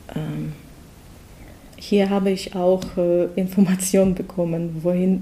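Speaking very slowly in a Russian accent, a woman keeps to a medium pitch while noticeable background noise runs underneath. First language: Russian (speaking German). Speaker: project participant, mother. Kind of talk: interview. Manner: halting.

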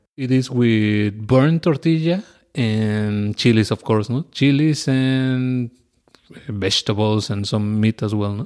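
A man speaks at a very slow pace. He has a Spanish accent. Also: medium pitch for a man, ordinary pitch variation. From Oaxaca, Mexico. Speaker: mezcal bar owner. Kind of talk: casual interview.

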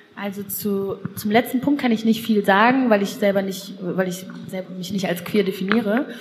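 A woman's fairly even intonation over noticeable background noise. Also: medium pitch for a woman, moderate pace. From Lower Rhine region, western Germany. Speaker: podcast host and columnist. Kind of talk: casual chat.

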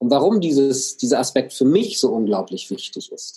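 His pitch swings very widely around a medium level as this man speaks. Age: 50s. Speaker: coach and speaker. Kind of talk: interview.

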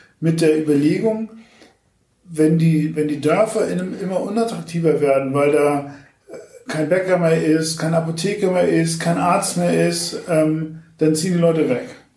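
There is audible room echo as a man speaks at a moderate pace with a fairly high pitch and ordinary pitch variation. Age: 40s. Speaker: media startup executive and party activist. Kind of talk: interview.

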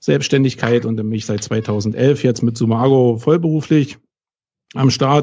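A man's dark, mellow tone in a Berlin accent, with fairly even intonation. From West Berlin. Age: 40s. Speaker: SEO consultant. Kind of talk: podcast interview.

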